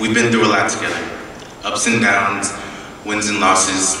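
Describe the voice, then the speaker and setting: Strong room echo surrounds a man speaking in a fairly low pitch with fairly even intonation. Light background noise is present. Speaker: speaker. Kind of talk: prepared speech. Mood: earnest, reflective. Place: hall. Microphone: podium.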